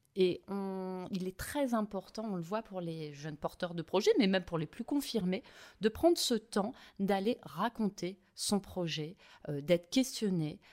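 With a normal speaking voice, a woman talks at a medium pitch and fairly slow pace, her intonation lively, in a very clean recording with a silent background. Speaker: local government marketing director. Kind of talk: interview.

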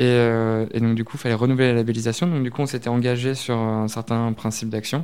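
A man at a fairly quick pace, with hardly any pauses and fairly even intonation. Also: medium pitch for a man, very clean recording, silent background. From Normandy, France. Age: 20s. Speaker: social media manager. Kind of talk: interview. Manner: hesitant, many fillers.

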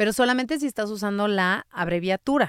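On a very clean recording with a silent background and a dry, close sound with no echo, a woman with a plain, everyday voice talks at a fairly quick pace with lively intonation. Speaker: linguistic consultant and copy editor. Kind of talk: interview.

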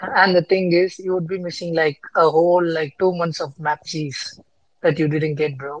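In a flat, monotone delivery, a woman with a fairly low pitch speaks at a moderate pace. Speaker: panelist. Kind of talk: casual chat.

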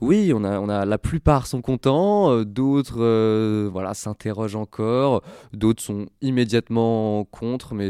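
Dark, mellow medium-pitched male voice, ordinary pitch variation, fairly slow pace, dry, close sound with no echo, very clean recording with a silent background. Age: 20s. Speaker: nonprofit founder. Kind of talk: interview. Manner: halting.

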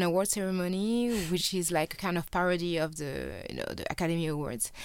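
Moderately paced, a woman speaks at a medium pitch with ordinary pitch variation. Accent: French. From France. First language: French. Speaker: filmmaker, journalist and activist. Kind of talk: interview. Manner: hesitant, many fillers.

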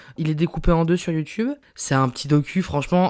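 An animated voice comes through a very clean recording with a silent background. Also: woman. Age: 20s. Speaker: podcaster and journalist. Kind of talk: casual solo monologue. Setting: home recording.

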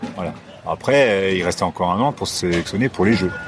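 Noticeable background noise behind a male voice with ordinary pitch variation. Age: 50s. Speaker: former Olympic kayaker. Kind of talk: casual chat. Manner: halting.

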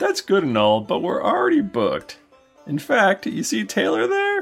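Faint music plays in the background as the voice moves at a moderate pace. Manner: exasperated, pushy about gold.

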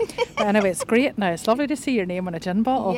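Amid noticeable background noise, a woman in a Northern Irish accent speaks very fast at a fairly high pitch with lively intonation. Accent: Northern Irish, lilting. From Northern Ireland. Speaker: podcast guest, chef. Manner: chatty, laughs often.

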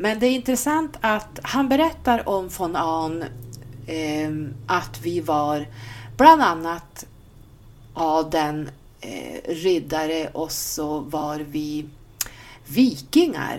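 A woman speaks at a very slow pace with a very deep, low pitch and very wide pitch swings. Her speech has long, frequent pauses. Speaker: podcast host. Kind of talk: casual podcast talk.

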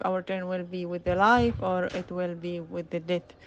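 A woman speaks in a fairly low voice. She has an Arabic accent. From Gaza, Palestine. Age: young. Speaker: news correspondent. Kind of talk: testimony. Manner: halting.

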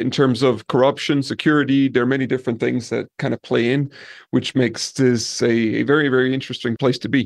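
A man talks at a fairly quick pace with a medium pitch. His intonation is monotone and flat, and the background is quiet. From Denmark, small village. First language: Danish. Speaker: property manager. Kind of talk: casual interview. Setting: roof terrace of an Airbnb.

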